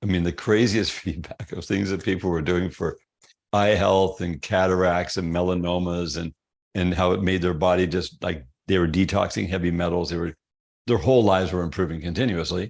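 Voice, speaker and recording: Speaking at a fairly quick pace, a man with a very deep, low, resonant voice keeps his intonation fairly even. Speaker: health product company founder. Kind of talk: interview storytelling. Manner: casual, conversational.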